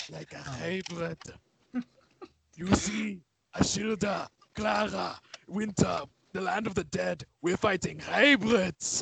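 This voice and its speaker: Putting on a raspy character voice, a man talks high in pitch at a fairly slow pace with long, frequent pauses. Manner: mocking, overdone.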